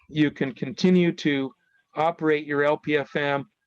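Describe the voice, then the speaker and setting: A man with an unremarkable speaking voice, fairly high pitch and fairly even intonation, in a dry, close sound with no echo. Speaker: broadcast engineering consultant presenter. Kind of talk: webinar presentation.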